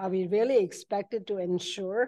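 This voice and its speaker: Her voice sits at a medium pitch with a dark, mellow tone as this woman speaks over a quiet background. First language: not English. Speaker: commission member. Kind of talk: committee meeting discussion. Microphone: podium.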